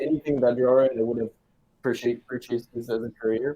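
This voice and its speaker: Speaking with a French accent, a man has a dark, mellow tone at a medium pitch. His pace is fairly quick and his intonation fairly even. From France. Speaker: video game artist. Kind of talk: interview. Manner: halting.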